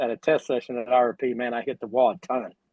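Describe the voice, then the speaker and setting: He has a normal speaking voice. The male speaker's delivery is fairly quick. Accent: American. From US. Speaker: sprint car driver. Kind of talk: casual chat. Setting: livestream.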